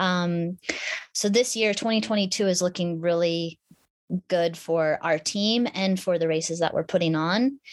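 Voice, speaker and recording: A woman with an American accent and a plain, everyday voice speaks fairly slowly at a fairly low pitch, with ordinary pitch variation and very even loudness. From Alaska (Anchorage). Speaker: adventure racer and mountain bike champion. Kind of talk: casual interview chat.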